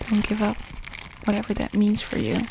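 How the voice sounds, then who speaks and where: A soft-spoken woman with a gentle tone, against noticeable background noise. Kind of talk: ASMR whispered ramble to camera, comforting talk. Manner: soft, gentle, rambling, comforting.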